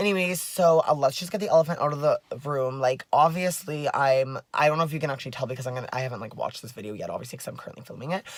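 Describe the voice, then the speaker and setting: A woman speaks very fast in a very deep, low pitch with an animated tone. Her loudness swings widely, and noticeable background noise is present. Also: ordinary pitch variation. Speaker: vlogger. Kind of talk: casual vlog monologue. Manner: animated, filler-heavy.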